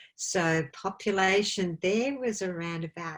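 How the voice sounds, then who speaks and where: In an Australian accent, a woman with a medium pitch and ordinary pitch variation speaks on a very clean recording with a silent background. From Australia, country Victoria. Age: 50s. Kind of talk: interview chat.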